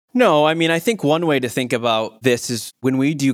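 Here a man speaks with a Michigan accent at a moderate pace. His intonation is fairly even, and the recording is very clean with a silent background. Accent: US Midwest (Michigan). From Michigan, Muskegon. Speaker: optometrist. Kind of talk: interview.

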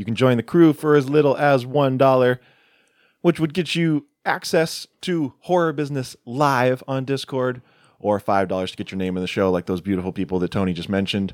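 Very clean with a silent background and a dry, close sound with no echo, the recording has a man of medium pitch talking fairly quickly with lively intonation in an unremarkable speaking voice. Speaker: podcast host, horror film reviewer. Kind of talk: casual chat.

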